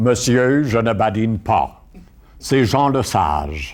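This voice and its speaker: Very slowly, a man talks at a medium pitch. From Quebec, Montreal (Saint-Henri). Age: 70s. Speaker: former politician. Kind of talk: interview testimony. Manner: halting.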